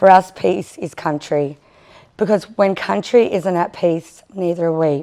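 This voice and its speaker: On a very clean recording with a silent background, a woman with an Australian accent speaks at a fairly low pitch with ordinary pitch variation. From Australia (First Nations). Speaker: First Nations community leader. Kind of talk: conference panel speech. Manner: halting.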